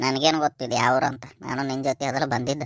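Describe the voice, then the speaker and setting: A man's cartoonish character voice at a medium pitch, fairly quick and flat in a monotone, with a dry, close sound and no echo. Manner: brash, teasing.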